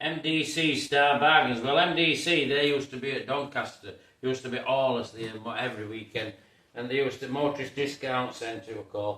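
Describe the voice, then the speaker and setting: With a Yorkshire accent, a man talks at a fairly quick pace and a medium pitch. His intonation is fairly even, and noticeable background noise runs underneath. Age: 60s. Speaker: car restorer. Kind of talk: casual show-and-tell video. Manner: halting, many fillers.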